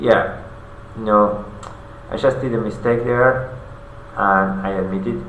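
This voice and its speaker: Through audible room echo and noticeable background noise, a man with a non-native accent speaks at a very slow pace with a medium pitch, ordinary pitch variation, and long, frequent pauses. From non-English-speaking country. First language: not English. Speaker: vlogger. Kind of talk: personal video diary monologue. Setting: alone in front of a camera. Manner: halting, many fillers.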